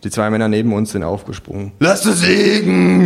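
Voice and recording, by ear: A natural voice reading aloud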